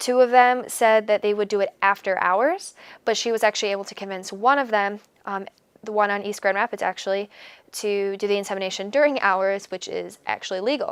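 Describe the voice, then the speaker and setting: On a very clean recording with a silent background, a woman with an American accent speaks at a fairly quick pace in a medium pitch with fairly even intonation. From Michigan, US. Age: 20s. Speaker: college student. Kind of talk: interview. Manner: hesitant, many fillers.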